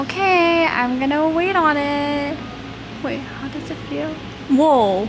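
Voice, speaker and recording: Music plays in the background while a woman speaks very slowly at a high pitch, with ordinary pitch variation and long, frequent pauses. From Southern California. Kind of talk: casual vlog talk.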